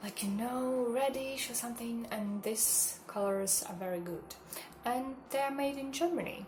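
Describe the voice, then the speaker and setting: A non-native accent with ordinary pitch variation, amid noticeable background noise and audible room echo. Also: woman. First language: not English. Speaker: makeup vlogger, hotel receptionist. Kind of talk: makeup tutorial. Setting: home kitchen. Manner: halting.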